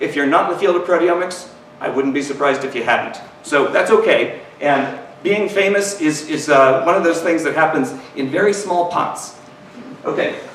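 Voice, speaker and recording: A man in an American accent talks at a fairly quick pace, with noticeable background noise and audible room echo. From US Midwest, Missouri. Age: 40s. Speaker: professor. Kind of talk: lecture. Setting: stage with audience. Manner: halting, repeats words.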